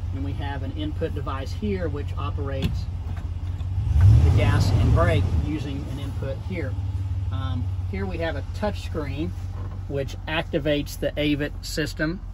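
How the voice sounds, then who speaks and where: A man speaks fairly slowly, pausing long and often, while loud background noise fills the clip. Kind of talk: product demonstration. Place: car.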